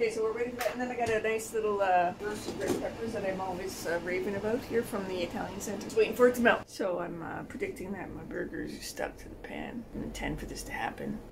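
Over noticeable background noise, a woman talks very fast with hardly any pauses. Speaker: vegan vlogger. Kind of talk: casual vlog chat. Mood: cheerful, laughing. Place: kitchen. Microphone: phone near.

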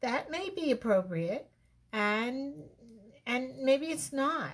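A woman speaks in a high pitch at a very slow pace. Her pitch swings very widely. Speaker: relationship advice host. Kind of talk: casual talk to camera. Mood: reflective, mildly playful. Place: home room. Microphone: webcam.

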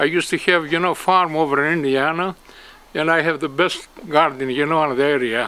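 In a Greek accent, a man speaks at a moderate pace and fairly high pitch with fairly even intonation. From Greece. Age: 80s+. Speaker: retired gardener who donates produce. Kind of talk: casual interview. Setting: outdoors. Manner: halting. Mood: proud, warm, cheerful. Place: garden.

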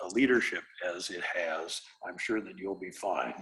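A medium-pitched man with a Midwestern US accent. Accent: US Midwest. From Iowa. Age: 60s. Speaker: real estate developer. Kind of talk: presentation to city council. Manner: halting, many fillers.

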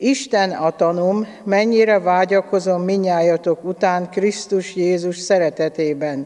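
At a very slow pace, a woman speaks with fairly even intonation and very even loudness. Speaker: lay scripture reader. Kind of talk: liturgical reading. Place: church.

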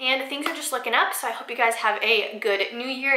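A woman projects a raised voice at a high pitch, moving at a fairly quick pace. Her pitch varies in an ordinary way, and audible room echo fills the recording. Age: 20s. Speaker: lifestyle YouTuber. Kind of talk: casual vlog talk to camera. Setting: home bathroom, sitting on floor. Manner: chatty, informal. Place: bathroom.

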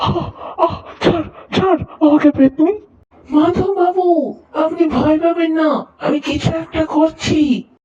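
In a cartoonish character voice, the speaker uses a high pitch and a fairly slow pace.

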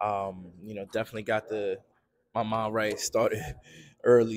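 The man speaks at a moderate pace with medium pitch. His intonation is monotone and flat. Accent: New York. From Queens, New York; New York. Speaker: podcast co-host. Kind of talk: casual interview. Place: studio.

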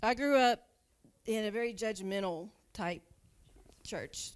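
Pitch varies in an ordinary way as the woman talks. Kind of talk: personal testimony. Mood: emotional, hesitant, grateful. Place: church. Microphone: handheld.

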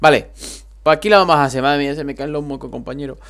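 A man's fairly high-pitched voice in an animated tone. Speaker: gaming youtuber. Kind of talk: gameplay commentary.

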